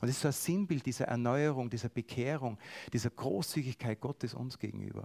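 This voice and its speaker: Vocal fry runs through this fairly quick speech, recorded very cleanly with a silent background and a dry, close sound with no echo. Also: man. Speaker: preacher. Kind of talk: sermon.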